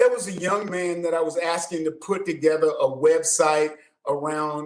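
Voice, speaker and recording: A man with a normal speaking voice and fairly high pitch talks at a moderate pace, his pitch varying in an ordinary way. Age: 60s. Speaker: fitness coach. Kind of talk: interview.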